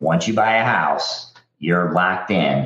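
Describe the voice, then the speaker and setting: A man with an American accent, audible room echo around him. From Missouri, St. Louis area. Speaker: mortgage lender, military veteran. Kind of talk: casual interview.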